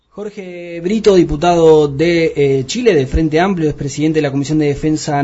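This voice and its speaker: Noticeable background noise sits under a man talking at a fairly quick pace. His fairly high voice shows ordinary pitch variation. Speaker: radio host. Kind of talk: interview. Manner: halting.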